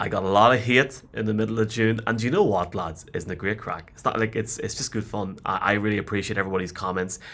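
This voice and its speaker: In a very clean recording with a silent background, a man with a Northern Irish accent speaks at a very fast pace with hardly any pauses, a fairly low pitch and fairly even intonation. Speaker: podcast host. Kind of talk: casual chat.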